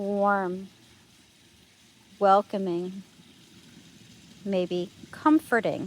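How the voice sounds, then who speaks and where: A woman speaks softly. Her pace is very slow. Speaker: meditation guide. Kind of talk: guided meditation. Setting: outdoors. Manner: soft-spoken.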